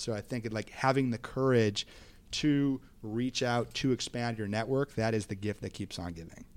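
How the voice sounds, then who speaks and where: At a moderate pace, a man talks in a plain, everyday voice. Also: medium pitch for a man, ordinary pitch variation. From Minnesota. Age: 30s. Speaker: podcast guest. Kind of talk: casual interview.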